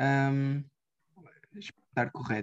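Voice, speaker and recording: The delivery moves at a fairly slow pace. Behind it, the background stays quiet. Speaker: radio show host. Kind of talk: interview conversation. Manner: halting, many fillers.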